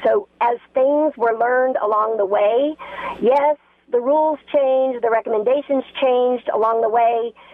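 A woman with an American accent speaks at a moderate pace in a high voice with ordinary pitch variation, with noticeable background noise. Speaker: healthcare worker. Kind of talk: call-in. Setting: phone call.

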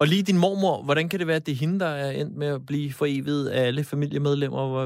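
With hardly any pauses, a man talks very fast in a fairly high voice and fairly even intonation. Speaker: radio host. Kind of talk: radio talk show. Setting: studio.

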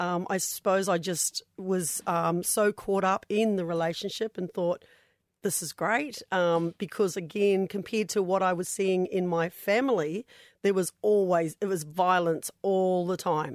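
A woman of medium pitch speaks at a fairly slow pace with fairly even intonation, recorded very cleanly with a silent background and a dry, close sound without echo. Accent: New Zealand. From New Zealand. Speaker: domestic violence survivor and charity founder. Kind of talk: radio interview testimony. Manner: hesitant, many fillers.

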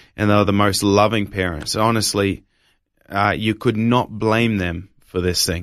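On a very clean recording with a silent background, a man with an Australian accent speaks at a moderate pace in a fairly low, monotone, flat voice. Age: 20s. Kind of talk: testimony.

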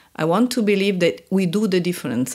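A woman speaks with an Italian accent and ordinary pitch variation. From Italy. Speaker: senior international aid official. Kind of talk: interview. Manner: halting.

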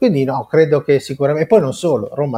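Heard dry and close without any echo, the voice rises and falls in an ordinary way. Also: man. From Italy, La Spezia (Liguria). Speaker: business networking executive. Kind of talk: interview. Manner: halting, with many repetitions.

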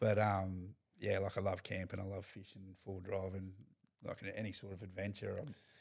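This man has an Australian accent and a fairly low pitch. He speaks at a moderate pace with monotone, flat intonation. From North Queensland, Australia (Mackay). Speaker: professional rugby league player. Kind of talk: casual chat.

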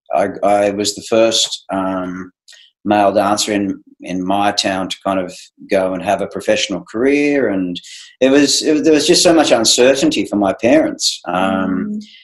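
Using lively intonation, a man with an Australian accent talks at a moderate pace and a fairly low pitch. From regional Australia (Wodonga, Victoria). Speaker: ballet director and former dancer. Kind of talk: casual interview.

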